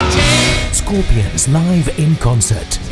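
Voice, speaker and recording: A man speaks over loud music in the background. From British. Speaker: voice actor. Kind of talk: TV commercial read. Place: studio.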